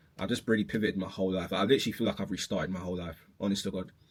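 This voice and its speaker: Very fast delivery from a man with a fairly low-pitched voice. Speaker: clothing brand owner and vlogger. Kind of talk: casual vlog monologue. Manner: casual, many fillers and restarts.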